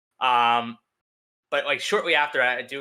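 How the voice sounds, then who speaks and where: With a Philadelphia accent, a man talks at a medium pitch with ordinary pitch variation. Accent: Philadelphia American. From Philadelphia, US. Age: 20s. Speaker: streamer. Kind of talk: casual chat. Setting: live streamed podcast.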